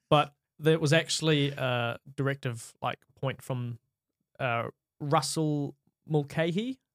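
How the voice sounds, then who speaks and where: Speaking at a very slow pace with long, frequent pauses, a man with a fairly high pitch and a New Zealand accent keeps a fairly even intonation in a dry, close sound with no echo. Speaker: podcast host. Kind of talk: casual chat.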